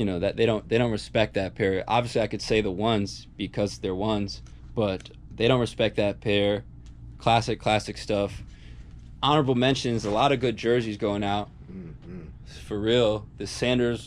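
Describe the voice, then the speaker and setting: With vocal fry and a fairly low pitch, a man speaks at a moderate pace with ordinary pitch variation over light background noise. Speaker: sneaker reseller shop owner. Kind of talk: casual vlog chat. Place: shop. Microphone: phone near.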